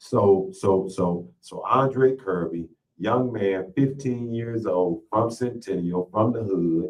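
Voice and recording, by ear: At a slow pace, a man speaks with fairly low pitch and ordinary pitch variation.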